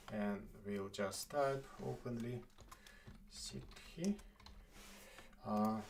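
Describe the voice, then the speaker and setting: A man speaks at a very slow pace with long, frequent pauses. His intonation is lively. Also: fairly low pitch for a man. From Estonia. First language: not English. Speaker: live streamer. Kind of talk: casual chat. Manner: halting.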